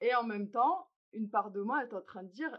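At a fairly slow pace, a woman talks in an ordinary speaking voice with a fairly high pitch. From Algeria. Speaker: podcast host. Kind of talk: structured dialogue.

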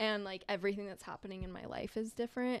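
A woman with a Southern California accent, medium pitch, and ordinary pitch variation. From Southern California, Long Beach. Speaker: podcast co-host, reiki practitioner. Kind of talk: casual chat. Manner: animated.

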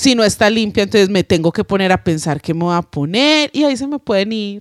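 The recording is very clean, with a silent background and a dry, close sound with no echo. A woman at medium pitch speaks at a moderate pace with very wide pitch swings. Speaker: podcast co-host, singer. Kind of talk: casual chat.

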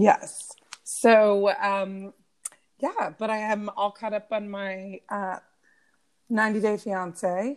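A woman at a medium pitch speaks very slowly, with long, frequent pauses. Her intonation stays fairly even. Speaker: podcast co-host, lawyer and mom. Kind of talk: casual chat.

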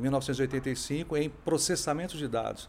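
Using an ordinary speaking voice, a man talks at a fairly slow pace. His pitch is fairly high for a man. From Brasília, Brazil. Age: 50s. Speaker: tech entrepreneur. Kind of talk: interview.

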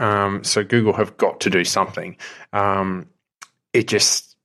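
With an Australian accent, a man talks at a moderate pace in a fairly low pitch with ordinary pitch variation and a bright, sharp tone. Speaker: app developer. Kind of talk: casual chat. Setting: video call.

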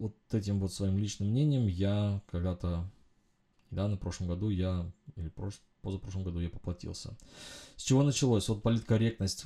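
A man with a dark, mellow tone and a fairly low pitch speaks somewhat breathily at a moderate pace, with ordinary pitch variation and long, frequent pauses, in a very clean recording with a silent background. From Uzbekistan, then Germany as a teen. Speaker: podcast host, engineering consultant. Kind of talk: solo monologue podcast. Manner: hesitant, frequent filler sounds.

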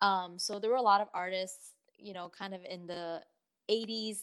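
In an ordinary speaking voice, a woman with an American accent talks fairly slowly at a medium pitch with fairly even intonation, on a very clean recording with a silent background. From southern China, raised partly in California. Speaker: singer-songwriter and fashion consultant. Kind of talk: casual interview.

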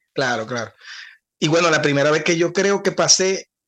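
Speech in a Zulian Venezuelan accent at a moderate pace, with ordinary pitch variation and a quiet background. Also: man. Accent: Zulian Venezuelan Spanish with voseo. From Venezuela, Cabimas (Zulia). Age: 40s. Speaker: singer and podcast co-host. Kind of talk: casual chat.

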